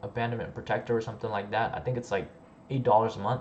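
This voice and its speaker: A man talks with fairly even intonation. He has an unremarkable speaking voice. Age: 20s. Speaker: online business coach / YouTuber. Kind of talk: livestream Q&A. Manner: casual with many filler words.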